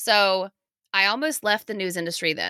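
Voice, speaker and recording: A woman talks at a medium pitch with ordinary variation, her bright, sharp tone captured in a dry, close sound with no echo. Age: 30s. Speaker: former TV news anchor, menstrual cycle coach. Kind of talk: interview.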